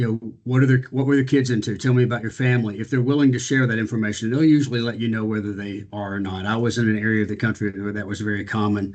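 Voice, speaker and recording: A man of medium pitch speaks at a very fast pace. He takes hardly any pauses. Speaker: business executive and speaker. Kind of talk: panel talk on video call. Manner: energetic.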